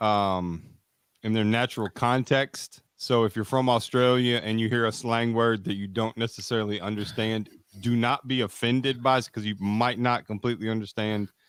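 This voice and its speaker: Delivered at a moderate pace in a Kentucky accent with fairly even intonation, the voice sounds dry and close with no echo on a very clean recording with a silent background. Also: man, medium pitch for a man. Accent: Kentucky Southern American. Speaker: podcast co-host. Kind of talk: casual chat. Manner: halting, many fillers.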